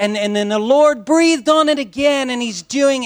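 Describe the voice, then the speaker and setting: A man talks with an American accent. His tone is animated. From US Midwest, Lee's Summit, Missouri. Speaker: pastor. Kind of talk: sermon.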